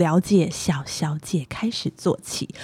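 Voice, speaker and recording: A woman speaks over noticeable background noise. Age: 40s. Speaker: podcast co-host. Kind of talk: casual chat; scripted narration.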